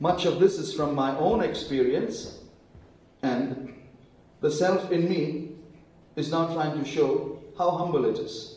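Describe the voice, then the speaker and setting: Very slow delivery with long, frequent pauses and ordinary pitch variation, plus noticeable background noise and audible room echo. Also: man, high pitch for a man. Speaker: preacher. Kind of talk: sermon.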